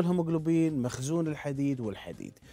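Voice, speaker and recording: A man with a fairly high pitch and a dark, mellow tone talks at a fairly quick pace. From Kuwait. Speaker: internal medicine doctor; guest. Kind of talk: TV interview explaining medical topic. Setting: TV studio. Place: studio. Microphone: lapel.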